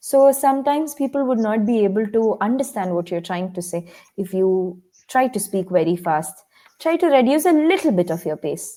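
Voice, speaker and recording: Her voice has a dark, mellow tone and a fairly high pitch. The woman's pitch swings very widely. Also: moderate pace. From India, Kerala. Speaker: English tutor. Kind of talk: online tutoring session.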